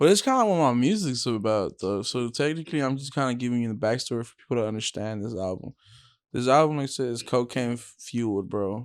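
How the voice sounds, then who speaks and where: A man with a plain, everyday voice speaks at medium pitch and a fairly quick pace, with ordinary pitch variation and big swings in loudness. The recording is very clean, with a silent background. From Texas, Houston. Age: 20s. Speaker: rapper and musician. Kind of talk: casual interview chat. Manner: casual, profane.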